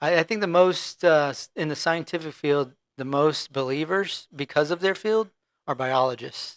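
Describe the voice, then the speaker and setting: A man has a normal speaking voice at a fairly high pitch with ordinary pitch variation. The recording is very clean, with a silent background. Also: moderate pace, dry, close sound with no echo. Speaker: medevac pilot. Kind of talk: casual podcast chat.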